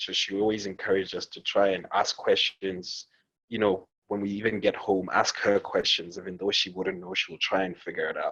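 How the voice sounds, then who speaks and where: A bright, sharp voice moves at a moderate pace with monotone, flat intonation. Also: man, fairly low pitch for a man. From Botswana. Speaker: cultural economist and arts organizer. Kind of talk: podcast interview.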